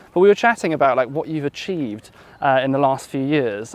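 Speaking at a fairly quick pace, a man with a Welsh accent uses lively intonation at a fairly high pitch. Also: dry, close sound with no echo. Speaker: podcast host. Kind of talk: casual interview. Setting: outdoors in a park.

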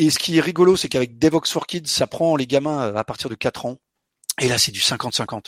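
A man with a plain, everyday voice speaks at a moderate pace, his fairly high pitch showing ordinary variation in a dry, close sound with no echo. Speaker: software developer and conference organizer. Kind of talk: interview.

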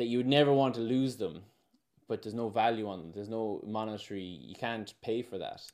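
Here a man speaks fairly quickly with an Irish accent. His pitch is medium, with ordinary variation. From Ireland. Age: 30s. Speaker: regenerative farmer and former pro surfer. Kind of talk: casual interview chat.

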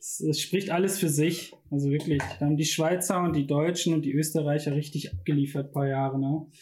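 A dark, mellow tone marks this somewhat breathy voice. Its speed is moderate and its intonation fairly even. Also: man. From Ruhr area, Bochum. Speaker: design student. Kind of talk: casual chat.

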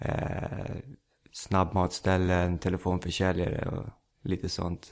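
Very deep and low in pitch, this man speaks at a fairly slow pace. The recording is very clean, with a silent background. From Stockholm suburb (Rinkeby). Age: 20s. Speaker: stand-up comedian. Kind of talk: casual chat. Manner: halting.

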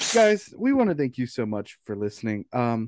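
Recorded with a dry, close sound, no echo and a quiet background, a man with an unremarkable speaking voice talks at a fairly slow pace. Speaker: podcast host. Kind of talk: casual banter between friends. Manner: playful, laughs often.

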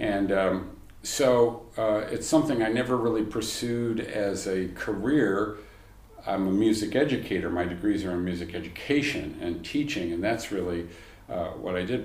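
Noticeable background noise behind speech of ordinary pitch variation at a moderate pace. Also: man. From United States. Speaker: composer and conductor. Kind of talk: casual interview. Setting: in person in Peterborough.

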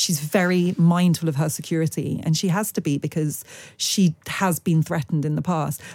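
At a moderate pace, a woman speaks in a somewhat breathy, fairly low voice with fairly even intonation. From Britain. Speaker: journalist and TV presenter. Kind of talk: interview.

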